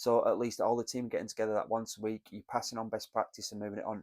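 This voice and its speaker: This man speaks very fast with a British accent, at medium pitch and in a flat monotone. The recording is very clean and dry, close-miked with no echo and a silent background. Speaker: business mentor. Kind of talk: solo talk to camera, business advice. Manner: conversational, some hesitations.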